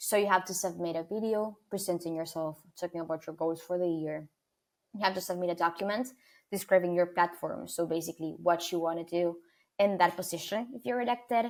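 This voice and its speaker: Speaking at a fairly quick pace, a woman with a fairly low pitch and ordinary pitch variation talks in an Argentine accent. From Argentina, Buenos Aires. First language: Spanish. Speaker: student leader. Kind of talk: interview.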